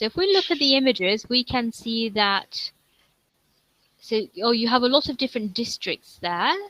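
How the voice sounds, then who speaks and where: A woman with a London accent speaks at a fairly high pitch in a bright, sharp tone, with lively intonation and a moderate pace. She leaves long, frequent pauses, and the sound is dry and close with no echo. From England, London. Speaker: online English tutor. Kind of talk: online English conversation lesson.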